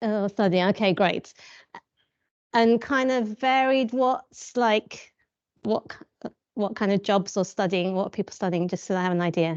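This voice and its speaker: Against a quiet background, a woman of medium pitch speaks at a moderate pace with ordinary pitch variation and a dry, close sound with no echo. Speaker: teacher. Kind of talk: talk to a group. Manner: informal.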